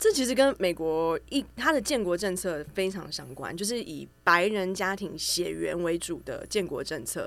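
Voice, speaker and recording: A woman talks at a fairly slow pace. She barely pauses at all. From Taiwan, Taichung. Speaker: writer and researcher. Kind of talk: casual chat. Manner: hesitant fillers.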